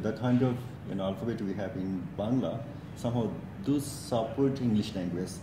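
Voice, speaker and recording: Amid noticeable background noise and audible room echo, a man talks at a very fast pace at medium pitch with ordinary pitch variation. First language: Bengali. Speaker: English teacher. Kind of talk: casual interview conversation.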